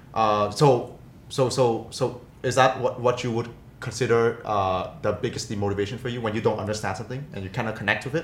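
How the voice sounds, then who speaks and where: Audible room echo surrounds a man speaking at medium pitch and a fairly quick pace, his intonation fairly even. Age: 20s. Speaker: podcast co-host. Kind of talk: casual chat.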